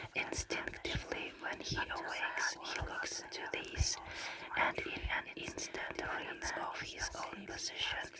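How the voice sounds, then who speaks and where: Amid noticeable background noise, a woman's whisper unfolds at a very slow pace. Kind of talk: ASMR book reading. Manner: soft-spoken, slow, ASMR style.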